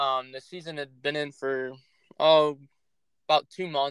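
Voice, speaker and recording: The speaker is a man with a fairly high pitch. He talks with a Midwestern American accent. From Northeast Ohio. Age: young. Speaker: hunting content creator and podcast host. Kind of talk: casual chat. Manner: halting, many filler words.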